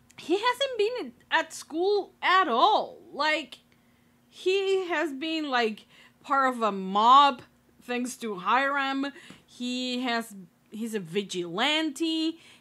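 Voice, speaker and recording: A woman's high, bright, sharp voice, raised and projected, moving very slowly through very wide pitch swings on a very clean recording with a silent background. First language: not English. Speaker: YouTube TV reaction reviewer. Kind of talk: casual reaction commentary. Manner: casual with many fillers.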